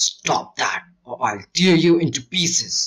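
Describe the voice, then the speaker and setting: Putting on a character voice, a man talks at a fairly slow pace, pitched high with lively intonation. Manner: menacing.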